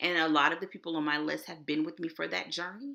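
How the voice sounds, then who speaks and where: Bright and sharp in tone, a woman with a Texas accent sounds animated, talking at a fairly quick pace with lively intonation and vocal fry. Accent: Texas twang. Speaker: author and web developer. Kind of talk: online conference presentation. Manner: casual.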